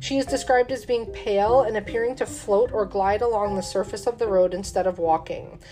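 A woman talks with hardly any pauses. Noticeable background noise sits behind her. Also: fairly quick pace. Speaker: paranormal podcast host. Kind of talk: true-crime horror narration, reading haunted-bridge legends; casual chat with beer tasting intro. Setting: home studio, drinking beer. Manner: measured, storyteller cadence, spooky and matter-of-fact; casual, chatty, with fillers.

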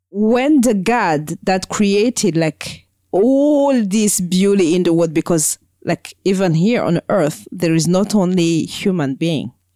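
In a dry, close sound with no echo, a woman with a dark, mellow tone speaks very slowly, her intonation lively and her loudness very even. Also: medium pitch for a woman, very clean recording, silent background. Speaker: podcast co-host. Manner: halting, hesitant with many fillers.

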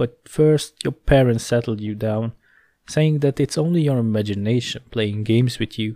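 The background stays quiet. Over it comes a natural reading voice.

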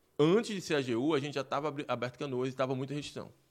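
Normal rises and falls in pitch, captured very cleanly against total silence. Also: man. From Recife, Pernambuco, Brazil. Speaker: entrepreneur, gym owner. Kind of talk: interview. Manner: animated.

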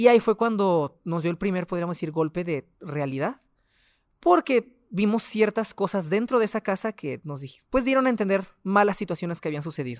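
The recording is very clean, dry and close, with a silent background and no echo. A man speaks at a high pitch with lively intonation. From Mexico, Ciudad Juárez, Chihuahua. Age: 20s. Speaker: doctor and pharmacy owner. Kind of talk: testimony. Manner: halting.

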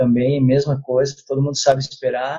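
A man speaks at a moderate pace with a fairly high pitch. His voice is somewhat breathy. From Brazil. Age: 30s. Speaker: physical education teacher. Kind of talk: interview. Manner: halting.

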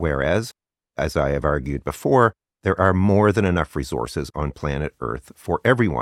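Vocal fry runs through a man's voice as his pitch swings very widely, recorded with a dry, close sound and no echo. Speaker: astrology YouTuber. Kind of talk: angry rant, ad-libbed monologue. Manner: impassioned, urgent, forceful; unscripted, ad-libbed.

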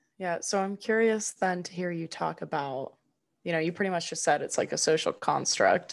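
With a General American accent, a woman speaks in an ordinary speaking voice at a moderate pace, her pitch fairly low and her intonation fairly even against a quiet background. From California, near Sacramento. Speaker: podcast co-host. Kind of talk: casual chat.

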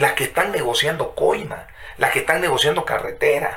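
An animated man talks at a moderate pace over noticeable background noise. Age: 40s. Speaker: journalist and lawyer. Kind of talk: interview conversation. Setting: studio.

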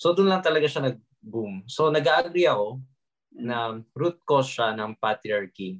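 A plain, everyday voice. It moves at a fairly slow pace with hardly any pauses. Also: man, medium pitch for a man. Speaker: podcast co-host and TikToker. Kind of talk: casual chat.

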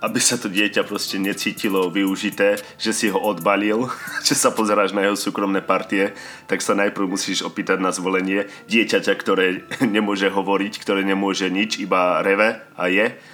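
Music plays behind a man who talks at a fairly low pitch and a moderate pace, with monotone, flat intonation. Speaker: podcast host. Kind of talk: casual monologue. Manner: nervous.

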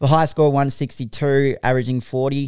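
In an Australian accent, a man speaks at a medium pitch with fairly even intonation. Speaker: podcast host. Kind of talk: casual chat. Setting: studio.

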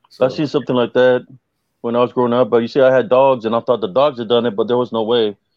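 A man rattles along at a very fast pace, his pitch medium and his intonation fairly even. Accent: American. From South Texas. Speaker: guest sharing paranormal experiences. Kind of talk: casual chat, storytelling.

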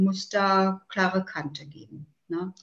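This is a woman speaking. Her pitch is medium. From northeastern Germany, island of Rügen. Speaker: politician. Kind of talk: interview.

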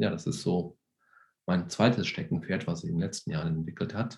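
Moderate pace, lively intonation and vocal fry in a man's very deep, low voice. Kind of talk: interview. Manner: hesitant with many fillers.

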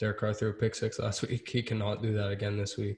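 A man speaks at a fairly quick pace in a monotone, flat intonation, his voice somewhat breathy against a quiet background. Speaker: sports podcast host. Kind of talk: casual chat.

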